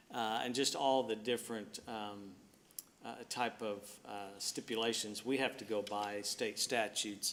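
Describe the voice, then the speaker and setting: With a Mississippi accent, a man talks at a moderate pace in a fairly low pitch. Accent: Southern US (Mississippi). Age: 60s. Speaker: city administrator. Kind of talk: public meeting address. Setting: city board meeting, speaking standing. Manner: halting, many fillers.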